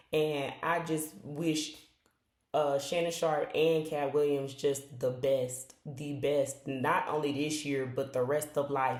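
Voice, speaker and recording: At a fairly slow pace, a woman speaks in a very deep, low pitch with audible room echo. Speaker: video blogger. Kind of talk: casual video review monologue. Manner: halting, stuttering.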